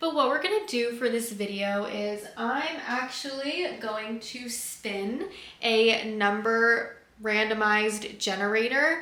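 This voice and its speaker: Over noticeable background noise and audible room echo, a woman with a fairly high pitch talks at a very slow pace. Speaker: book youtuber. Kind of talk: casual vlog talk to camera. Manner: flat, not very expressive.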